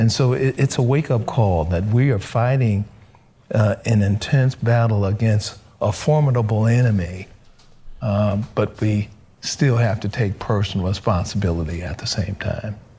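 At a moderate pace, a man talks in a dark, mellow, somewhat breathy voice with a fairly low pitch. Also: ordinary pitch variation. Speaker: physician; panelist. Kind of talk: panel testimony. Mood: sober, confessional. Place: studio.

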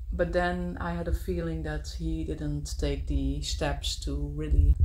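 With music in the background, a woman speaks fairly slowly in a Dutch accent, her very deep, low voice showing ordinary pitch variation. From Netherlands. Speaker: travel vlogger. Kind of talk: casual vlog monologue. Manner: halting, many fillers. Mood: personal, reflective. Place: home room. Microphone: phone near.

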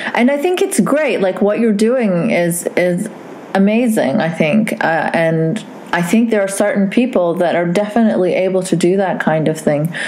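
Very even loudness and ordinary pitch variation at a moderate pace, with audible room echo and noticeable background noise. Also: woman, medium pitch for a woman. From Saudi Arabia. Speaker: podcast host. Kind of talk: casual chat.

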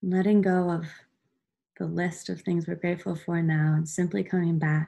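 A woman's fairly low, somewhat breathy voice has a dark, mellow, soothing and gentle tone, delivered with a monotone, flat intonation. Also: quiet background. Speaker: meditation guide. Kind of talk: guided meditation. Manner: slow, soothing, gentle pacing with calm pauses; soft-spoken, warm, instructional. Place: home room. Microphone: webcam.

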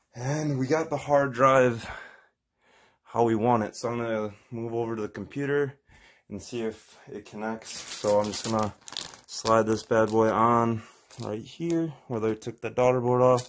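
Big swings in loudness mark a man's voice, which moves at a fairly slow pace with fairly even intonation. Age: 20s. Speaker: tech tutorial youtuber. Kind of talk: tutorial. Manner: casual, hesitant with fillers. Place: home room. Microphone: phone near.

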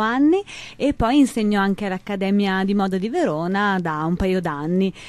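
In a dry sound with no echo, a woman talks at a moderate pace with ordinary pitch variation. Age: 30s. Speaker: image consultant; interview guest. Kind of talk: radio interview. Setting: radio studio. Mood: warm, chatty. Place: studio. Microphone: studio mic.

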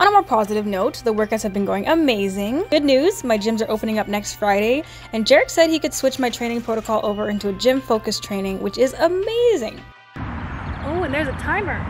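A woman talks at a fairly quick pace while faint music plays in the background. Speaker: fitness vlogger. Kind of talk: casual vlog chat. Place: open country. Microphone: phone near.

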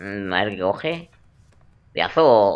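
The speaker is a man. He talks in a fairly low register. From Spain. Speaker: gaming youtuber. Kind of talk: let's play commentary. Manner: animated. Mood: joking, playful. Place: home room. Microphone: headset.

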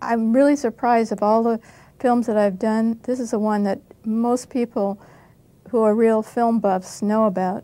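Flat and monotone, a woman speaks at a moderate pace in a dark, mellow tone. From United States. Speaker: actress. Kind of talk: interview answer. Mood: modest, reflective. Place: studio. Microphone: lapel.

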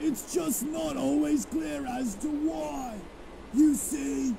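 Clear background noise sits under this man's put-on character voice. He speaks at a very slow pace. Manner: theatrical, whimsical.

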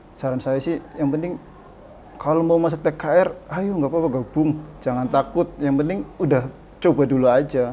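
Light background noise sits under speech at a moderate pace with ordinary pitch variation. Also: man, fairly high pitch for a man. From Indonesia, Brebes, Central Java; Central Java, Indonesia. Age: 30s. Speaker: vocational school automotive department head; automotive teacher guest. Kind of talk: casual interview. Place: studio.

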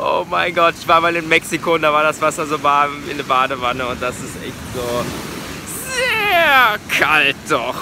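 There is noticeable background noise as a man speaks at a fairly slow pace, the sound dry with no echo. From Germany. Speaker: vegan travel vlogger; travel vlogger. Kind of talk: travel vlog narration. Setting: outdoors. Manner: casual, filler-heavy.

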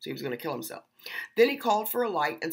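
Vocal fry alongside very wide pitch swings. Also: woman, quiet background. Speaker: online preacher. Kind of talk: sermon. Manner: earnest, emphatic, preaching; defiant, challenging. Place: home room. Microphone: webcam.

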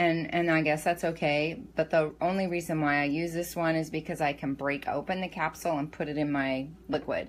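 A woman speaks at a moderate pace. Hers is a normal speaking voice, fairly low in pitch. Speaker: home meal prep vlogger. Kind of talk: casual tutorial chat. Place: kitchen. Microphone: phone near.

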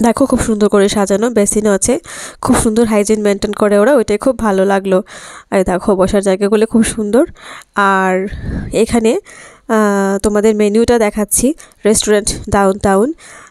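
Against a quiet background, a woman speaks with very even loudness and fairly even intonation in a dry sound with no echo. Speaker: vlogger. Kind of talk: casual vlog chat. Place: cafe. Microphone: phone near.

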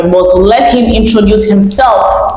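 Over music in the background and audible room echo, a woman speaks at a moderate pace. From Ghana. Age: 20s. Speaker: YouTuber. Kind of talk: vlog intro to camera. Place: home room. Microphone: lapel.

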